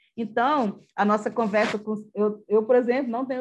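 A woman speaks with a fairly high pitch and fairly even intonation. Her pace is moderate. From Acre, Brazil. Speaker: history professor. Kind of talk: interview. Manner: halting.

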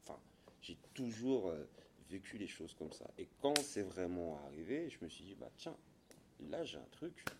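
A man at a fairly low pitch and fairly slow pace, with very wide pitch swings, long and frequent pauses, and big swings in loudness. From Gabon. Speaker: former pro Muay Thai boxer and gym owner. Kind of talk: interview. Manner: hesitant, repeats words.

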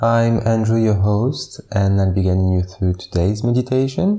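A man's medium-pitched voice, somewhat breathy, with a calm, soothing, dark and mellow tone at a fairly slow pace. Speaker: meditation guide. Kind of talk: guided meditation. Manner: slow, calm, soothing; measured, evenly paced counting.

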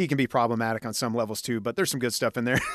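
A plain, everyday voice from a man, medium in pitch, with fairly even intonation, dry and close with no echo, on a very clean recording with a silent background. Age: 40s. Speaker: podcast host and musician. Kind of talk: casual chat.

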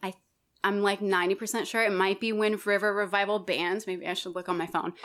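With an American accent, a woman speaks at medium pitch in a monotone, flat intonation. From Colorado and Wyoming, US. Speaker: singer and musician. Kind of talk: casual interview chat.

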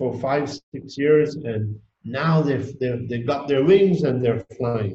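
A man's dark, mellow tone comes across somewhat breathy at a very slow pace. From Tanzania. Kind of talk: interview. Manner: halting.

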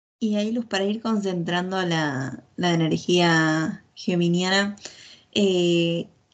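An unremarkable speaking voice with ordinary pitch variation comes through over a quiet background. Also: woman. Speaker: podcast co-host.

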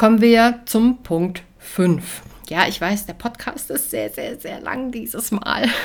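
Her pitch is fairly high and her intonation lively. The woman goes at a very slow pace, with big swings in loudness. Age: 30s. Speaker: podcast host, household organization coach. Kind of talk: solo podcast monologue, tips. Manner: casual, chatty.

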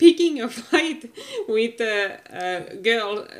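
Very slowly, a woman speaks with a Finnish accent and lively intonation. Her pitch is high. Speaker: podcast co-host. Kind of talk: casual chat. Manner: halting.

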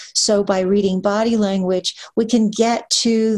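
A woman with an American accent talks at a fairly slow pace in a fairly high pitch with ordinary pitch variation, an ordinary speaking voice. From Pennsylvania, near Hershey. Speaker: author and literary agent. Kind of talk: interview.

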